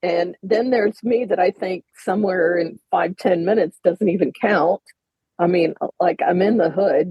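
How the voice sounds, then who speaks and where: A woman with a normal speaking voice talks at a moderate pace and medium pitch, with ordinary pitch variation and very even loudness. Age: 60s. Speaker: dating coach and podcast host. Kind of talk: podcast interview. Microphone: poor audio.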